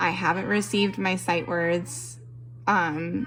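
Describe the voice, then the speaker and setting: Her fairly low-pitched voice carries lively intonation, and noticeable background noise can be heard as this woman speaks. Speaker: homeschooling mother. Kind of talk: casual tutorial talk to camera.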